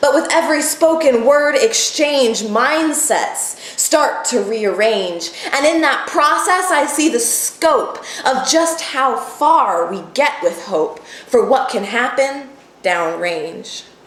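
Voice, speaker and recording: Over noticeable background noise, a high-pitched woman speaks very slowly with very wide pitch swings. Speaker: spoken word poet. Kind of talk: poetry slam performance.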